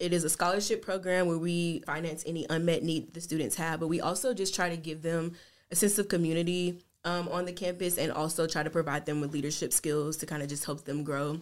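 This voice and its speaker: A woman with an American accent talks very fast at a fairly low pitch with fairly even intonation. The recording is very clean, with a silent background. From US South, Tennessee (Jackson). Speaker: university diversity administrator. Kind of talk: casual interview.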